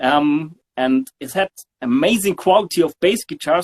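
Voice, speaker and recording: Man with a German accent and fairly high pitch, lively intonation at a moderate pace, dry and close with no echo. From southern Germany. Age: 40s. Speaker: bass guitarist. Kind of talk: interview. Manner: halting.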